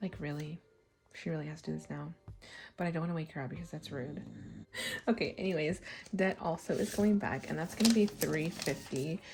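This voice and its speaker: Speech with vocal fry and ordinary pitch variation moves at a fairly quick pace, broken by long, frequent pauses. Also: woman, very deep, low pitch for a woman. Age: 30s. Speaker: budgeting vlogger. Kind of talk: casual chat.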